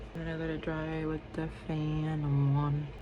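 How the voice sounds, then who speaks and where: A woman whispers amid audible room echo and noticeable background noise. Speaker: beauty vlogger. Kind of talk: casual chat. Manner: whispering; animated.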